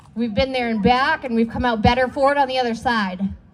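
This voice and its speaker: Loud and high-pitched, a woman speaks with an American accent. Her pace is moderate and her intonation fairly even. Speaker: recovery worker and speaker in recovery. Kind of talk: speech at community event.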